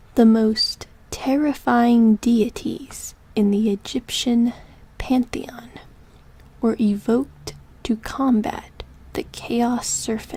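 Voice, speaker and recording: At a very slow pace, a woman speaks in a whisper. Her pauses are long and frequent. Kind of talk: sleep story. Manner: whispered.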